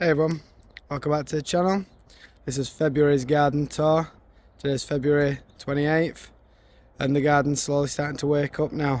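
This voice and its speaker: A fairly quick pace broken by long, frequent pauses, in a Yorkshire accent with monotone, flat intonation. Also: man, fairly high pitch for a man. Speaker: gardening YouTuber. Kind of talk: garden tour vlog. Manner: halting, repeats words.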